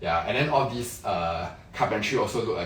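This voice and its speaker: Over noticeable background noise, a man with a Singaporean accent speaks at a medium pitch with lively intonation. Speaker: interior designer. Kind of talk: live-stream home tour walkthrough. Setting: livestream inside a condo. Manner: fast; casual, filler-heavy.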